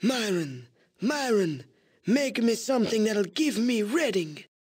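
In a put-on character voice, a man speaks at a fairly slow pace with a high, wheezy pitch. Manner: demanding, imperious.

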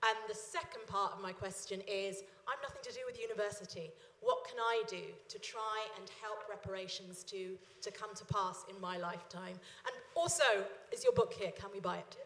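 The speech moves at a moderate pace with big swings in loudness and audible room echo. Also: woman. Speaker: audience member. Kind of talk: audience question. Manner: halting. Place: hall. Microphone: handheld.

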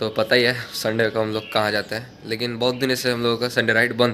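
A man talks at a fairly quick pace in a bright, sharp tone with monotone, flat intonation. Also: medium pitch for a man.

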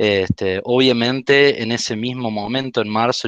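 In a dry recording with no echo and a quiet background, a man speaks with ordinary pitch variation. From Argentina. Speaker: university lab course lecturer. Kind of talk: presentation. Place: home room. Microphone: headset.

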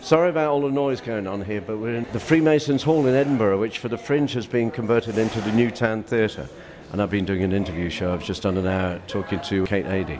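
Noticeable background noise sits behind a man with a fairly low pitch. He talks at a very fast pace with lively intonation. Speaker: radio presenter. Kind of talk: interview answer. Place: hall.

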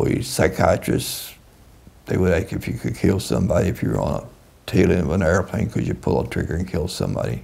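Speaking at a fairly quick pace with an American accent, a man with a very deep, low pitch makes very wide pitch swings against noticeable background noise. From US South, Kentucky (Owensboro). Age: 80s+. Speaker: war veteran. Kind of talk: interview. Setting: in person, on camera.

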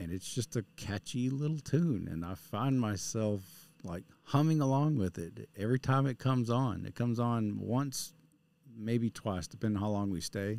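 Male voice with an American accent and a dark, mellow tone, moderate in pace, in a dry sound with no echo. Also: ordinary pitch variation. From West Texas. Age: 40s. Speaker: vlogger. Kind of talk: casual vlog monologue. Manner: halting, repeats words. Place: studio. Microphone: studio mic.

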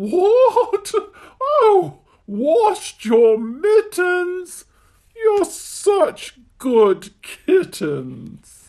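A cartoonish character voice at an extremely high pitch stretches out its words at a very slow pace. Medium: puppet show. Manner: scolding, exclamatory.

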